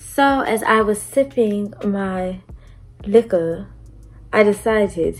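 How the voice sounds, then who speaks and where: Over music in the background, a woman speaks at a very slow pace with long, frequent pauses and ordinary pitch variation. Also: medium pitch for a woman. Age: 20s. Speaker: beauty and storytime vlogger. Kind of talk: casual storytime vlog. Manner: animated.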